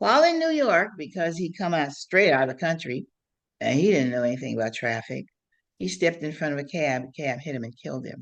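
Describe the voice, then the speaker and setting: Against a quiet background, a woman with an American accent talks at a fairly quick pace in a very deep, low voice with vocal fry, lively intonation and big swings in loudness. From Ohio. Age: 90s. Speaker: activist and writer. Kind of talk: interview storytelling. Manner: halting.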